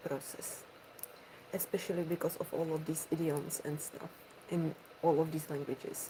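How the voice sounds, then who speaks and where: A woman with a fairly low voice speaks in a flat monotone at a moderate pace, with noticeable background noise behind her. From Czech Republic. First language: Czech. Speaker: ASMR streamer. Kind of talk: casual chat.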